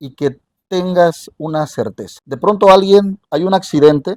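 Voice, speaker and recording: Recorded in a dry, close sound with no echo, a man talks at a fairly slow pace in a fairly high pitch with ordinary pitch variation. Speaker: radio journalist. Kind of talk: interview.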